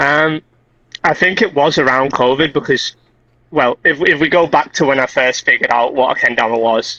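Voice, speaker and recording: A man with fairly high pitch and a bright, sharp tone at a moderate pace. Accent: Liverpool. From Liverpool, England. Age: 20s. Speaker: kendama player. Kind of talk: casual interview.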